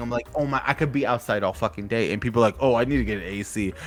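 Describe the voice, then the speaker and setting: Music plays behind a man who speaks in an animated tone. His pitch shows ordinary variation. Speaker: podcast host. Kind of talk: casual chat.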